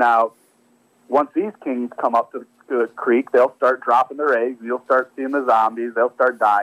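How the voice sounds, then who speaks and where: A normal speaking voice with an American accent talks at a fairly quick pace with lively intonation, in a dry, close sound with no echo. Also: man. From US Midwest (northwest Indiana). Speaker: fishing guide and angler. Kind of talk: interview.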